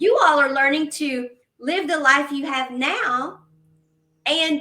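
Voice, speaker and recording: Projecting her raised voice at a high pitch, a woman speaks very slowly with ordinary pitch variation. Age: 50s. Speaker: podcast moderator. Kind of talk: casual chat.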